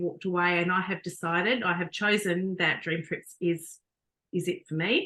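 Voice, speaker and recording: Woman with an Australian accent, medium-pitched and bright, sharp in tone, at a moderate pace. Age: 50s. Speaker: network marketing team member. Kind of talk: testimony. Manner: halting.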